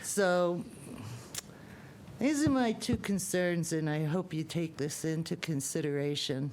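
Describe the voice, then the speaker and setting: A woman speaks at a fairly slow pace with a fairly low pitch, lively intonation and long, frequent pauses. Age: 60s. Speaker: resident speaking at public hearing. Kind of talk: public comment. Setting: public meeting. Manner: halting.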